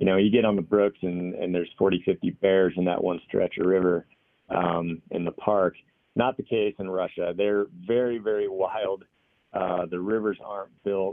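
Here a man speaks with an American accent. His pace is moderate and his intonation monotone and flat. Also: fairly low pitch for a man. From Washington State. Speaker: homesteader and hunter. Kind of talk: casual chat.

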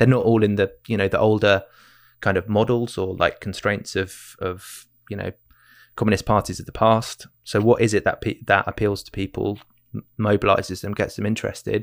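With a southern English accent, a man talks at a moderate pace. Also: fairly low pitch for a man. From England. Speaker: author and podcast co-host. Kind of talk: political discussion interview. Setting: video call. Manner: animated, gesticulating.

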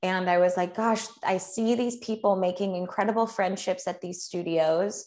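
A woman with an American accent, an unremarkable speaking voice, medium pitch, fairly even intonation, a moderate pace and hardly any pauses. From US Midwest, Chicago. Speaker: fitness instructor. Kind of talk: casual interview. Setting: home studio, remote interview.

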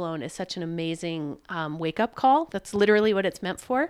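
A woman uses a normal speaking voice with an American accent and ordinary pitch variation at a moderate pace. The recording is very clean, with a silent background. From US South (Richmond, Virginia). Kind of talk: casual interview chat. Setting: at home kitchen table.

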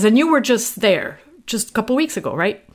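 A woman is speaking. She talks with a French accent. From France, Normandy. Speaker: podcast host. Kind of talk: interview.

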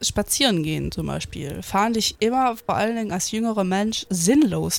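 Speaking with lively intonation at a moderate pace, a woman has a normal speaking voice pitched fairly high. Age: 20s. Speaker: podcast host. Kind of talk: casual chat.

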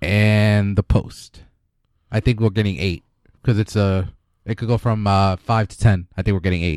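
This man has a plain, everyday voice, pitched fairly low. He talks at a moderate pace with fairly even intonation over a very clean recording and a silent background. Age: 30s. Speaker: podcast host. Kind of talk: casual chat.

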